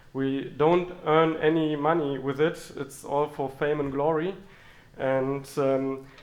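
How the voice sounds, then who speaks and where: A man speaks at a very slow pace in a monotone with flat intonation. Audible room echo is present. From Germany. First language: German. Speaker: software engineer and conference speaker. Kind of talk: conference talk. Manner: halting, many fillers.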